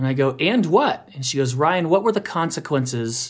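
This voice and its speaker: A man talks in a normal speaking voice at a fairly slow pace. His intonation is lively against a quiet background. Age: 50s. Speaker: parenting podcast host and speaker. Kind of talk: interview. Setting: radio show.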